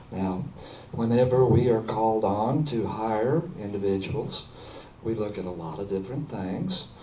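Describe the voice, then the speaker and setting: There is audible room echo and noticeable background noise around a man whose pitch is fairly low. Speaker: school board candidate. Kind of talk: candidate forum answer. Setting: public forum with audience.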